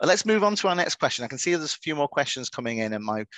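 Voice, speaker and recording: A man with a Manchester accent, very fast delivery, ordinary pitch variation, and a dry, close sound with no echo over a quiet background. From northern England, Manchester. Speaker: webinar moderator. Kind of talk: webinar panel discussion.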